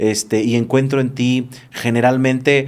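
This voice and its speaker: The speaker is a man. His pitch is medium. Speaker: podcast host. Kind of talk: casual interview chat. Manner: fast.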